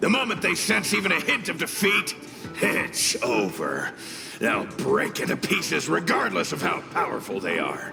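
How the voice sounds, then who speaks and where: A man performs a cartoonish character voice at a moderate pace. There is clear echo and clear background noise. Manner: relaxed, self-assured.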